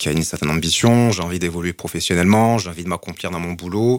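Recorded very cleanly against a silent background, a man talks very fast in a very deep, low voice with ordinary pitch variation. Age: 40s. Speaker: marketing executive and LGBT network co-founder. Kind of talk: testimony. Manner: hesitant, many fillers.

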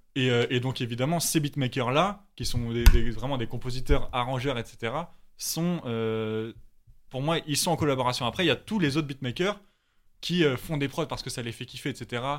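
Ordinary pitch variation and a moderate pace come through in a very clean recording with a silent background. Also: man, medium pitch for a man. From Paris. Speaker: music producer. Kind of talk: casual chat. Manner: animated.

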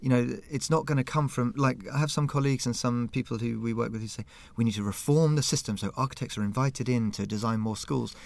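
Talking at a very fast pace, a man with a southern English accent uses ordinary pitch variation. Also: medium pitch for a man, hardly any pauses. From Southampton, southern England. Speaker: museum curator. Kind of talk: interview. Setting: small studio room.

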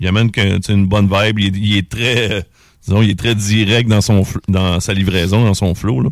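In a Quebec accent, a man talks at a moderate pace with a fairly low pitch, fairly even intonation and very even loudness. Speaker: radio host. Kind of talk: casual chat. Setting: studio.

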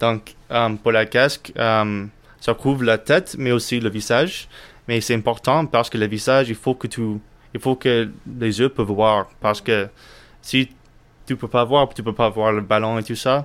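On a very clean recording with a silent background, a man with a medium-pitched voice speaks at a fairly slow pace with fairly even intonation. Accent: English. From United States. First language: English (speaking French). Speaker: friend explaining the rules. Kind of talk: casual interview. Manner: halting.

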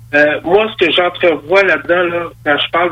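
A man speaks at a moderate pace in a high voice. Noticeable background noise sits behind him. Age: 50s. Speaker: MMA promoter. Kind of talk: radio interview.

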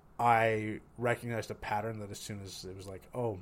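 This man speaks in a fairly low register with a monotone, flat intonation. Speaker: recent psychology graduate and podcast co-host. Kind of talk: casual chat.

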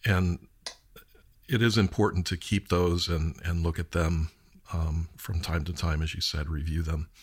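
A somewhat breathy man with a very deep, low pitch at a fairly slow pace. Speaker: podcast host. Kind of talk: interview conversation. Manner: filler-heavy, hesitant.

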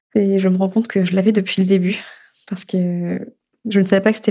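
A woman talks at a very fast pace in a medium pitch with monotone, flat intonation. Her voice is somewhat breathy, with a dark, mellow tone. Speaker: storyteller, narrating her own story. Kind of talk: personal testimony narration. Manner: halting, repeated words.

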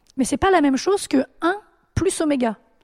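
A woman with a high pitch talks at a fairly quick pace with ordinary pitch variation, in a dry, close sound with no echo. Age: 30s. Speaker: quantum computing researcher and juggler. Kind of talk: casual chat.

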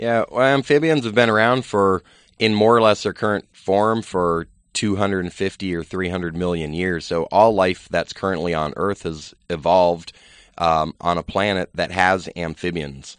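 Against a quiet background, a man with a very deep, low voice talks at a fairly slow pace with ordinary pitch variation, the sound dry and close with no echo. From Virginia. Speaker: conservation nonprofit founder. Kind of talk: radio interview.

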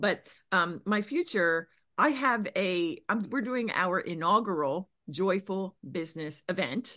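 In an American accent, an ordinary speaking voice moves at a fairly slow pace with lively intonation over a quiet background. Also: woman, medium pitch for a woman. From Pennsylvania, US. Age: 50s. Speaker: business coach. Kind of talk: interview.

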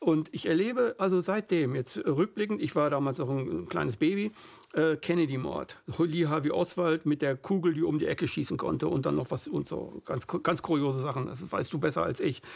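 Talking at a moderate pace with hardly any pauses, a man uses a fairly high pitch, ordinary pitch variation and vocal fry. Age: 50s. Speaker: podcast host. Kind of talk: interview.

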